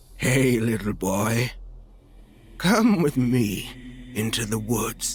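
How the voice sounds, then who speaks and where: A man's put-on character voice, medium in pitch, at a very slow pace. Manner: strange, unsettling.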